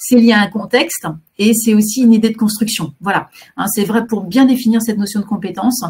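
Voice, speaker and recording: Fairly high-pitched and somewhat breathy, a woman speaks with fairly even intonation. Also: fairly quick pace. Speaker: career guidance counsellor. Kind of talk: webinar presentation. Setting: online webinar. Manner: fast; hesitant, many fillers.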